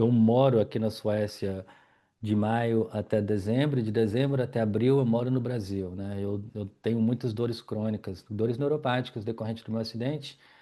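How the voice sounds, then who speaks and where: Medium-pitched male speech, dark and mellow in tone, at a moderate pace with fairly even intonation. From Brazil, Minas Gerais. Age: 40s. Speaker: yoga teacher and wheelchair user telling his life story. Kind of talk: personal life story monologue. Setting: at home in living room.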